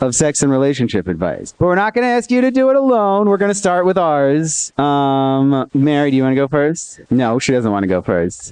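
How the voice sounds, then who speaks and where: This man's pitch sits fairly high. It swings very widely as he talks. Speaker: podcast co-host. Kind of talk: live podcast chat. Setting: stage with audience. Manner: loud.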